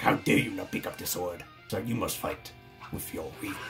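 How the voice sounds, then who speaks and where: A man does a put-on character voice at a fairly quick pace with clear music in the background. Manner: angry, scolding.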